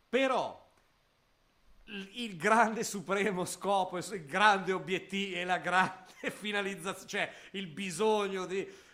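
Very slowly, a man in a raised, projected voice speaks at a high pitch with a bright, sharp tone, fairly even intonation and big swings in loudness. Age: 50s. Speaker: podcast co-host. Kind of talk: casual chat.

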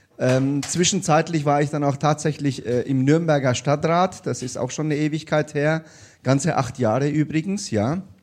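A man with a fairly high pitch and a plain, everyday voice, moderate pace, ordinary pitch variation, quiet background. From came to Bavaria (Bayreuth) at age eight. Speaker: state politician. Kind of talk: live panel discussion. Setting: stage with live audience.

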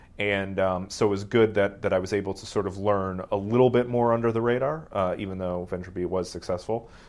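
A man with an American accent talks at a fairly quick pace in an ordinary speaking voice. His pitch is fairly low and his intonation fairly even. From Ohio, US Midwest. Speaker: venture capitalist and former tech blogger. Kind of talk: interview.

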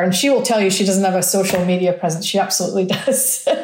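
A woman's dark, mellow voice with an American accent and audible room echo. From rural Scotland. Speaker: chief marketing officer. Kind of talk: interview. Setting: on location in the desert.

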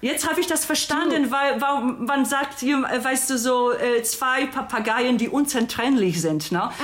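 Noticeable background noise sits behind a woman with a Polish accent. She speaks at a moderate pace in a high pitch. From Poland. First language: Polish (speaking German). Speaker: podcast guest, friend of host. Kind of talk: casual chat.

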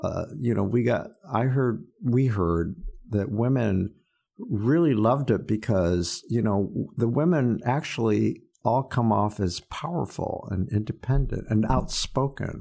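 With a dark, mellow tone, a man speaks at medium pitch and a fairly slow pace. His intonation is lively. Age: 70s. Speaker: podcast host. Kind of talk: casual interview chat.

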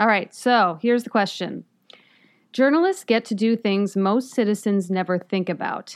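Here an unremarkable speaking voice moves at a moderate pace with ordinary pitch variation on a very clean recording with a silent background. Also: woman, medium pitch for a woman. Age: 30s. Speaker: investigative TV reporter. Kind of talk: casual chat. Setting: studio.

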